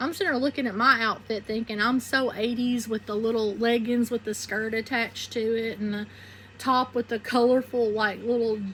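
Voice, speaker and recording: A woman speaks in a Southern US accent at a fairly high pitch. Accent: Southern twang. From southeastern Arkansas (Phillips County). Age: 40s. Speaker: YouTuber. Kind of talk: personal testimony monologue. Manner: casual, conversational.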